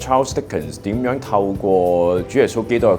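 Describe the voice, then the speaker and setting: A man speaks in a very deep, low voice with lively intonation, music playing in the background. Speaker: voice actor. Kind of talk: interview answer. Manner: casual, reflective.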